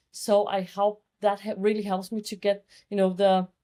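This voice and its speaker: Heard on a very clean recording with a silent background, a woman speaks at a medium pitch in a dark, mellow tone. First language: Danish. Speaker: fashion and beauty photographer. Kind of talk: podcast interview.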